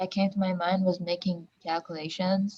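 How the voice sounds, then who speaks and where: Somewhat breathy and dark, mellow in tone, a woman speaks at a medium pitch with a non-native accent. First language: not English. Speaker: workshop participant. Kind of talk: workshop discussion.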